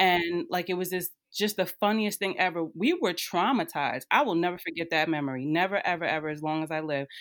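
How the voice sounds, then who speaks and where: In a very clean recording with a silent background, a woman with a normal speaking voice talks at a fairly quick pace with hardly any pauses, her fairly low pitch showing ordinary variation. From northern New Jersey. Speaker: social work educator. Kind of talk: casual chat.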